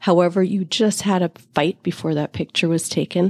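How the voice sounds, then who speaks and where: Her dark, mellow tone and fairly low pitch come through a dry, close sound with no echo as a woman speaks at a moderate pace. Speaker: spiritual teacher and podcast host. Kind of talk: monologue podcast talk. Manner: warm, animated.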